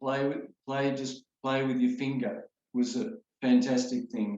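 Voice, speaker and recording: The speaker has an Australian accent and ordinary pitch variation. The pace is fairly slow. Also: man. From Sydney, Australia. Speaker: children's songwriter, retired music teacher. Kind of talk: interview answer.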